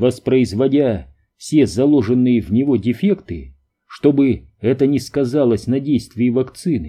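Read aloud plainly with fairly even intonation against a quiet background.

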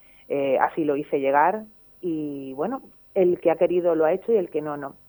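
The speech has an Andalusian accent and a slightly mellow tone. It goes at a moderate pace. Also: woman. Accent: Andalusian Spanish, Málaga.

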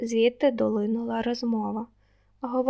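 The voice reads aloud. It sounds natural.

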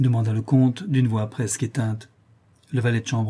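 Plain reading aloud, intonation fairly even throughout

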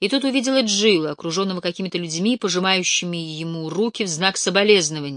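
The clip consists of plain reading aloud.

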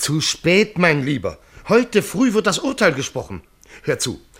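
A put-on character voice from a man, fairly high in pitch with a fairly bright tone, a slightly husky edge, very wide pitch swings and a fairly slow pace

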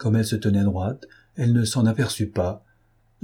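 A natural reading voice with fairly even intonation.

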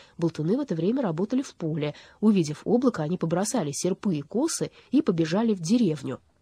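Someone reads aloud in a natural voice. Lively intonation runs through it.

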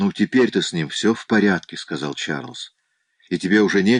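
An unforced reading voice comes through with a quiet background.

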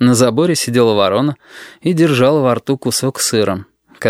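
The background is quiet. This is an unforced reading voice.

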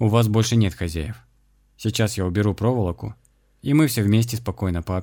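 The pitch variation stays ordinary. The delivery is an unforced reading voice.

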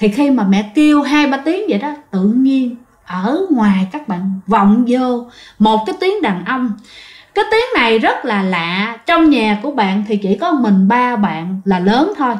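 A woman speaks fairly slowly at a fairly high pitch, her voice making big pitch swings.

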